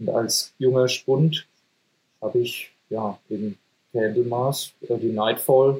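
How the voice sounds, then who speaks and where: A man's medium-pitched, somewhat breathy voice with a dark, mellow tone. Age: 40s. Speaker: metal band singer and guitarist. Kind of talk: casual chat.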